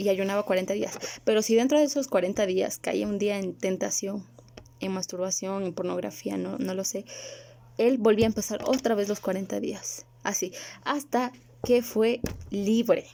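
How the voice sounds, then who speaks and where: A plain, everyday voice is heard. Its pitch varies in an ordinary way at a moderate speed. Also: woman, medium pitch for a woman. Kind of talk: religious video monologue.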